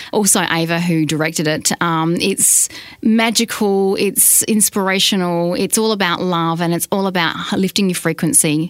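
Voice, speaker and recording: A woman speaks with an Australian accent. Her loudness is very even, and her pitch varies in an ordinary way. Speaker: radio program director. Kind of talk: podcast interview. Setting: radio studio.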